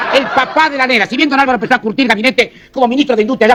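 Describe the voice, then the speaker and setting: An extremely high-pitched man speaks very fast with ordinary pitch variation amid noticeable background noise. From Argentina. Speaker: comedian, monologuist. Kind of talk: political comedy monologue.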